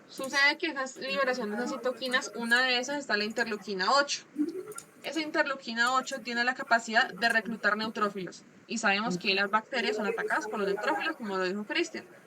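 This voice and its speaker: Her pace fairly quick and her pitch variation ordinary, a woman talks against noticeable background noise. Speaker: medical student presenting. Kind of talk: class presentation over video call. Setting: video call with screen share. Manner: fast.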